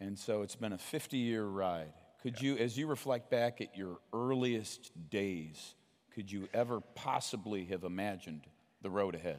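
Moderate-paced speech from a man, fairly low in pitch and ordinary in pitch variation. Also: very clean recording, silent background. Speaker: podcast host. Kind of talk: onstage interview. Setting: stage with audience. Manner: animated.

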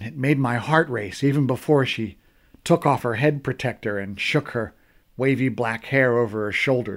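The voice is an unforced reading voice whose pitch varies in an ordinary way.

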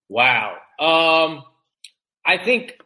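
A man with fairly high pitch and an American accent. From US West Coast, San Francisco Bay Area. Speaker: Paralympic sled hockey goalie, army veteran. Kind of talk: casual interview chat. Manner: halting, many fillers and repetitions.

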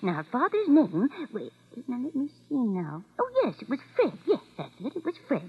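Putting on a character voice, a woman talks at a moderate pace with fairly high pitch, very wide pitch swings and a slightly husky edge.

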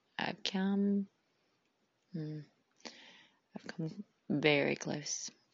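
At a very slow pace, a woman speaks with long, frequent pauses. Her fairly low voice is somewhat breathy, with ordinary pitch variation. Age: 30s. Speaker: podcast host. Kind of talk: personal monologue. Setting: recording alone on phone. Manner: talkative.

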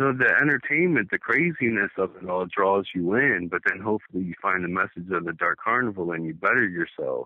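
A man with an East Coast US accent, lively intonation and a fairly quick pace, with hardly any pauses. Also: fairly low pitch for a man. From Delaware. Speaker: caller, juggalo. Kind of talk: phone interview. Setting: phone call.

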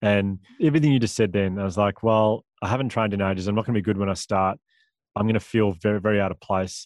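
Speaking very fast with an Australian accent, a man with a fairly low pitch comes through with a dry, close sound and no echo. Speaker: public speaker.

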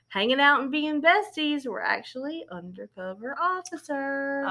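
A woman projects her raised voice at a high pitch in a bright, sharp tone, speaking fairly slowly on a very clean recording with a silent background. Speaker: podcast co-host.

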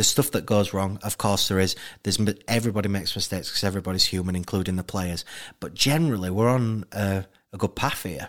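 Speaking very fast, a man with a Yorkshire accent uses a fairly low pitch and ordinary pitch variation. The recording is very clean with a silent background. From Leeds, West Yorkshire. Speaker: documentary director. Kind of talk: interview.

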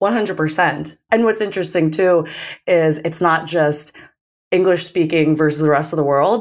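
A woman with an American accent speaks at a moderate pace in a fairly low pitch, with ordinary pitch variation and a plain, everyday voice. The recording is very clean, with a silent background. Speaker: sales manager. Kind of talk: interview.

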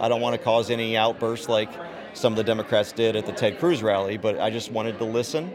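A man's medium-pitched voice with an American accent at a very fast pace, with audible room echo and crowd noise in the background. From Texas. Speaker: rally attendee, gun rights activist. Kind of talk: vox pop interview. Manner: hesitant, many fillers.

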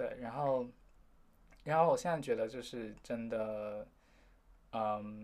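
This man speaks at a medium pitch with ordinary pitch variation. His pace is very slow, broken by long, frequent pauses. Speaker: university student. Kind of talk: interview.

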